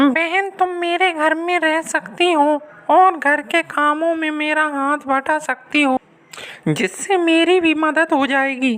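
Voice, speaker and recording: Using a put-on character voice, a woman speaks high in pitch at a fairly slow pace with ordinary pitch variation. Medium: read story.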